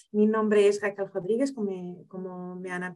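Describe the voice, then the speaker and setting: With a non-native accent, a woman talks at a medium pitch and fairly even intonation. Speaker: lawyer. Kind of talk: webinar presentation. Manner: halting.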